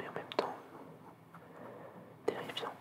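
Whispering in a calm, relaxed tone, the speaker keeps the voice hushed throughout. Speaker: ASMR content creator and artist. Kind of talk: ASMR relaxation video, drawing while talking softly to the viewers. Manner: soft-spoken, calm, relaxed pace.

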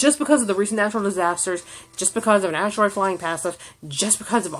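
A woman speaks at a very fast pace in an animated tone, her intonation lively over light background noise. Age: 30s. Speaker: YouTube vlogger; vlogger. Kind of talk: rant vlog. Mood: angry, exasperated. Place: home room. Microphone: phone near.

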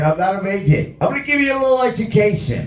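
A man's pitch swings very widely as audible room echo rings around his voice. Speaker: stand-up comedian. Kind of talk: stand-up comedy routine. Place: stage. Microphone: pa.

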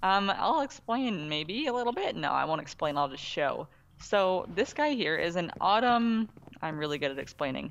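This woman's voice sits at a medium pitch with very wide swings. She keeps a moderate pace. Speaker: gaming co-host. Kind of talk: casual gameplay commentary.

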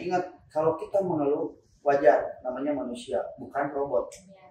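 With light background noise and audible room echo, a man speaks at a fairly quick pace. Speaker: channel host. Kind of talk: casual interview chat. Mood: earnest, motivational. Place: shop. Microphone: camera far.

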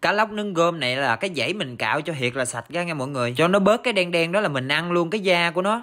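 Talking at a very fast pace, a man uses a high pitch and lively intonation. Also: quiet background. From southern Vietnam. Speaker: rural cooking vlogger. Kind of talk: casual vlog narration. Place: garden. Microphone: phone near.

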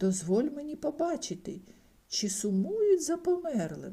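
A woman uses a put-on character voice, high-pitched with a dark, mellow tone and vocal fry. Her pitch swings widely at a fairly slow pace.

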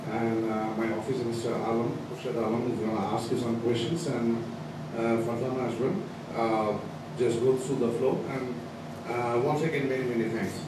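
Noticeable background noise runs under the clip, along with audible room echo. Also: moderate pace. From Bangladesh. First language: Bengali. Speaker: education agent. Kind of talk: seminar Q&A moderation. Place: classroom.

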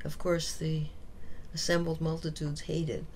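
A woman with an Upper Midwest accent, fairly low in pitch, at a moderate pace with ordinary pitch variation. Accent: Upper Midwest American. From US Midwest, Minneapolis. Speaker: music professor. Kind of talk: oral history interview.

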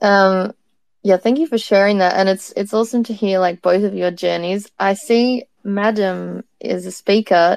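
A woman has an ordinary speaking voice, medium in pitch. She talks at a moderate pace with ordinary pitch variation. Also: dry, close sound with no echo. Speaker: podcast co-host. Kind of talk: casual online conversation. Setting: live online audio room.

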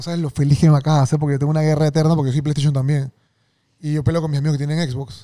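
A man's very fast, fairly high-pitched voice, dark and mellow in tone, monotone and flat, against a quiet background. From Panama. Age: 30s. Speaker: podcast host. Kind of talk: casual interview chat. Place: studio. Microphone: studio mic.

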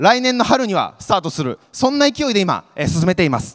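The pitch swings very widely at a moderate pace. The background is quiet. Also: man. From Kyoto Prefecture, Japan (Yosano, Tango). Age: 20s. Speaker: startup founder, craft beer entrepreneur. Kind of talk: pitch presentation on stage. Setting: stage with audience. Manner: earnest, formal, with frequent fillers. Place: hall. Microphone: handheld.

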